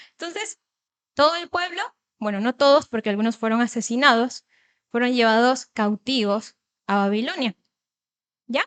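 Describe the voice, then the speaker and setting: With lively intonation and a high pitch, a woman speaks at a moderate pace, leaving long, frequent pauses, in a dry, close sound with no echo. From Ecuador, Manabí coast, later Guayaquil. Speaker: lay church speaker. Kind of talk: sermon.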